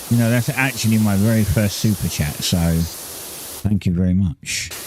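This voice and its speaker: A man with a British accent and a fairly low pitch, at a moderate pace with very even loudness and ordinary pitch variation, over noticeable background noise. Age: 50s. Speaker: gaming livestreamer. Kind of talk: casual chat. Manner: halting.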